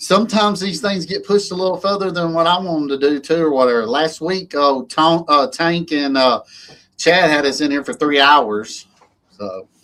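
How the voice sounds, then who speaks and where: A man with an Alabama accent speaks in a fairly high pitch with a bright, sharp tone. His intonation is lively and his pace moderate. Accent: Alabama twang. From Alabama, US South. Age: 40s. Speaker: lawn care business owner, livestream host. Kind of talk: casual chat. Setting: livestream.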